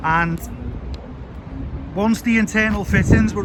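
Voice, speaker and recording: A man shouts loudly in a Scouse accent. His pace is moderate, and there is noticeable background noise. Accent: Scouse (Liverpool) English. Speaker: vlogger / local tour guide. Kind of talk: walking tour vlog. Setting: outdoors by a main road. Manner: loud, shouting a bit.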